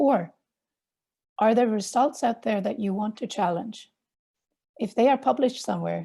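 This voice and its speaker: A woman speaks at a moderate pace with a Swedish accent, her dark, mellow tone carrying some vocal fry. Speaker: journal editor and academic. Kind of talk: webinar presentation. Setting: online webinar.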